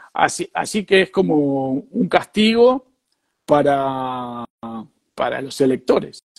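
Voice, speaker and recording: At a very slow pace, a man with a fairly high pitch makes very wide pitch swings in a dry, close sound with no echo. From Argentina, Rosario. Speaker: businessman in the food trade. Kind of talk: casual interview conversation.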